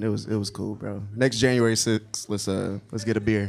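Talking fairly quickly, a man can be heard through noticeable background noise. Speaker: comedian and roast judge. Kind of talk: stand-up roast insults.

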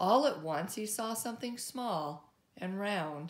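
A woman talks slowly at a medium pitch, her intonation lively.

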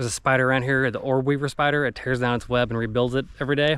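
The speech comes at a fairly quick pace with monotone, flat intonation and a dry sound with no echo. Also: man. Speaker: family travel vlogger. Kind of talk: casual vlog chat. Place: open country. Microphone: phone near.

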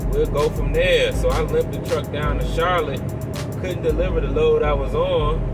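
A man at a moderate pace, with clear music in the background. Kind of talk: casual vlog chat. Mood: frustrated ranting storytelling. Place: car. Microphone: phone near.

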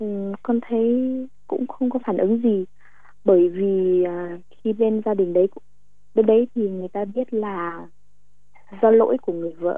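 A woman's medium-pitched voice with fairly even intonation, a fairly slow pace and long, frequent pauses, with music in the background. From Thanh Hoa, north-central Vietnam. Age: 20s. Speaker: caller. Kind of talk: personal testimony on call-in advice show. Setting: phone call. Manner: halting.

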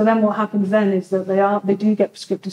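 There is audible room echo and light background noise as a woman speaks. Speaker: community sector worker facilitating the session. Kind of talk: group discussion facilitation. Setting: in-person community event with audience. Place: hall. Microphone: camera far.

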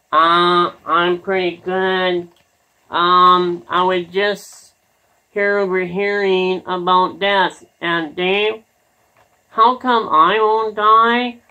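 In a cartoonish character voice, a female-sounding speaker talks at a very slow pace and a medium pitch. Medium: puppet show. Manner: naive, pleading.

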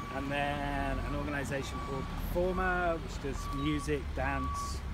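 Loud background noise surrounds a man whose voice sounds dry with no echo. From Birmingham, England. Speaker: museum curator. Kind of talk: interview answer on a walk. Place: street. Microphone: phone near.

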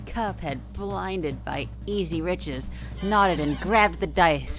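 A natural reading voice carries the text.

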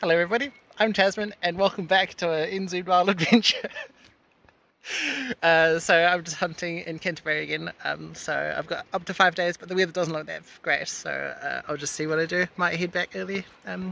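The pace is moderate. The sound is dry with no echo. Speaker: hunter vlogger. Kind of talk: casual vlog chat. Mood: cheerful, laughing. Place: forest. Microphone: phone near.

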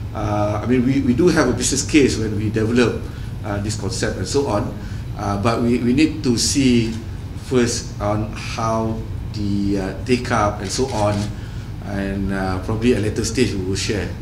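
Noticeable background noise, a fairly slow pace and fairly even intonation. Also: man, fairly low pitch for a man. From Malaysia. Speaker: telecom executive. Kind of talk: press interview. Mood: polite, guarded. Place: hall. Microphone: handheld.

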